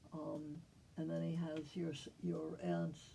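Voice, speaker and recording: A woman talks very slowly, and the room gives off an audible echo. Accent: American. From New Jersey and New York City. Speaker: family historian. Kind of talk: family history narration. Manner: halting.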